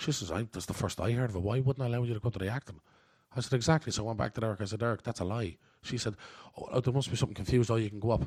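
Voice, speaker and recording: An animated, somewhat breathy voice at a very fast pace. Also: man, medium pitch for a man, ordinary pitch variation, very clean recording, silent background. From Ireland, Coolock, North Dublin. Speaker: actor. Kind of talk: interview. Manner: animated storytelling.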